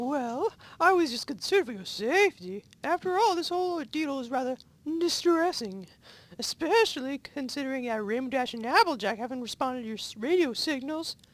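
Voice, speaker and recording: A man puts on a squeaky character voice. It sits at an extremely high pitch and moves at a fairly quick pace. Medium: read story. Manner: nervous, prim.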